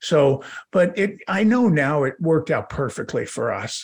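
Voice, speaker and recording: A man talks at a moderate pace with an American accent. His pitch swings very widely. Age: 60s. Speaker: family business coach and advisor. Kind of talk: interview conversation.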